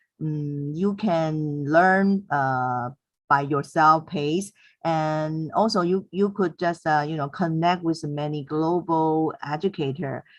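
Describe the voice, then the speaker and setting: A woman with a Mandarin accent talks very slowly in a very deep, low voice. Her intonation stays fairly even, and the background is quiet. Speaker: teacher. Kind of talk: webinar comment. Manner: halting, many fillers.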